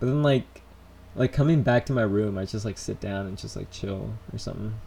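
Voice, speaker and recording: With a plain, everyday voice, a man talks at a fairly quick pace in a fairly low pitch with ordinary pitch variation. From United States (born in Colombia, moved at three). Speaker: vlogger. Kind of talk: live stream Q&A. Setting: in his room. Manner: casual, rambling with fillers.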